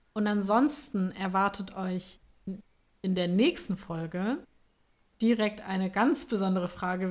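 She speaks in a plain, everyday voice at a medium pitch. Her pace is fairly slow, with ordinary pitch variation. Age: 20s. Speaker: podcast host, astrologer. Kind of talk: casual chat.

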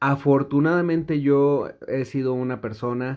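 This man's voice is fairly high-pitched and his intonation fairly even. He speaks at a very slow pace. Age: 30s. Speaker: podcast host. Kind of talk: solo podcast monologue. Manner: casual, with many fillers.

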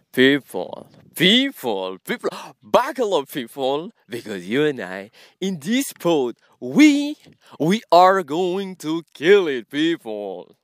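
A man speaks in an animated tone with very wide pitch swings. The recording is very clean and silent in the background, with a dry, close sound and no echo. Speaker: podcast host. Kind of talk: casual solo monologue. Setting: outdoors in nature. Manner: animated, code-switching French and English.

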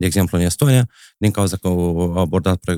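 Dry and close with no echo on a very clean, silent recording, a man with a Moldovan accent speaks very deep and low in a dark, mellow tone with ordinary pitch variation. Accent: Moldovan Romanian. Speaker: math teacher. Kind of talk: casual chat.

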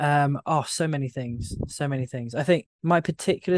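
This man has an unremarkable speaking voice with a fairly high pitch and a fairly quick pace. The background is quiet, and the sound is dry and close with no echo. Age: 30s. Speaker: trading educator. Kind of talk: interview.

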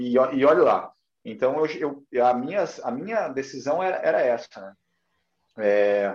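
Speaking at a very slow pace with long, frequent pauses, a man with a fairly high pitch uses lively intonation and big swings in loudness. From Curitiba, southern Brazil. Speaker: personal trainer. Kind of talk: casual interview. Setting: livestream.

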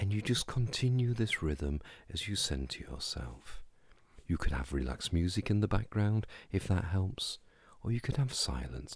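A man talks fairly slowly in a very deep, low pitch. His tone is gentle, calm and somewhat breathy. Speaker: podcast host and hypnosis practitioner. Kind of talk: guided meditation; scripted-style solo podcast talk. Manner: slow, calm, soothing, unhurried pacing; gentle, hypnotic, soft-spoken.

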